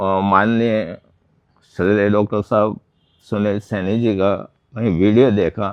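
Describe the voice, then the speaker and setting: The intonation here is monotone and flat. It belongs to a man whose pitch is fairly low. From Udaipur district, Rajasthan, India. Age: 60s. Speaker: patient. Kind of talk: testimony. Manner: halting.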